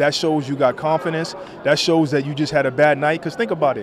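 The speech comes at a fairly quick pace. Noticeable background noise runs underneath. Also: man, dry sound with no echo. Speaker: boxing analyst. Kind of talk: casual on-camera sports interview. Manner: animated. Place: hall. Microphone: handheld.

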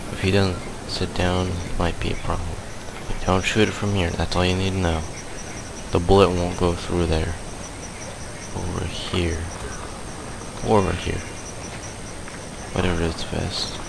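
The speech moves at a moderate pace. The sound is dry with no echo, though noticeable background noise is present. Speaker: gamer. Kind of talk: gameplay commentary.

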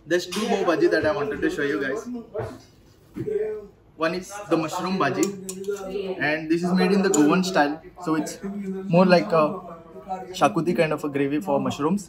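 Long, frequent pauses amid loud background noise. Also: man, moderate pace. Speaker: food vlogger. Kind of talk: casual vlog chat. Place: cafe. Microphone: camera far.

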